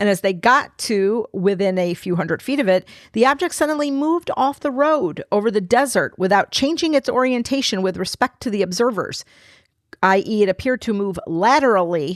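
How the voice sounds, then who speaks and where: A woman's loud voice at a fairly quick pace with lively intonation, in a very clean recording with a silent background. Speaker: paranormal podcast co-host. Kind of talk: reading documents aloud with commentary.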